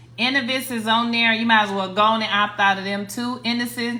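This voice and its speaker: Bright and sharp in tone, a woman with an American accent and a fairly high pitch speaks with fairly even intonation amid audible room echo. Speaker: credit repair coach, livestreamer. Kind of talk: livestream tutorial. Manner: casual, repetitive with restarts.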